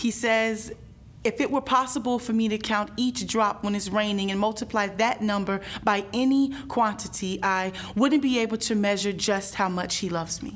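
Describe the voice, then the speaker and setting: At a moderate pace, a woman talks in an unremarkable speaking voice, pitched fairly high, with ordinary pitch variation. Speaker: spoken word poet. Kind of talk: spoken word poetry performance.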